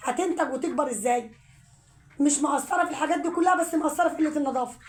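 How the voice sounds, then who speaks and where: Ordinary pitch movement runs through fairly brisk speech. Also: woman. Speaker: home poultry vlogger. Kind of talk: casual vlog talk.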